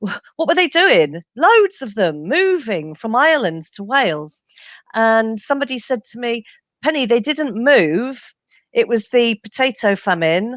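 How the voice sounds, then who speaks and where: A woman with an English accent, fairly slow, with very wide pitch swings, in a dry, close recording with no echo and a quiet background. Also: fairly high pitch for a woman. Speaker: genealogist and author. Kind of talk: interview.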